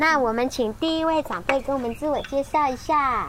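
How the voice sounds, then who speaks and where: A woman raises and projects her voice at a high pitch. Her pitch variation is ordinary. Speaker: radio host. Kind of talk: casual interview. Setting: on location at a community care station.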